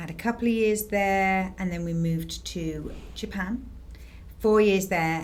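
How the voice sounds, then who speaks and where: Audible room echo accompanies a woman speaking at a moderate pace. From northern England, Harrogate, North Yorkshire. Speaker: realtor. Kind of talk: casual chat.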